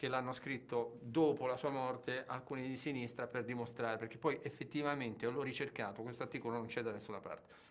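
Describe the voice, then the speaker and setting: A plain, everyday voice from a man, medium in pitch, at a moderate pace with fairly even intonation. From Turin, Italy. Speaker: film director. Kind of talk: interview.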